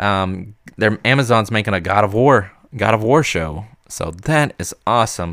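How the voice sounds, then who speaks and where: Over a silent background in a very clean recording, a man speaks at a moderate pace with a fairly low pitch and ordinary pitch variation. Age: 30s. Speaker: podcast host. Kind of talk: casual solo podcast monologue. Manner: halting, many fillers.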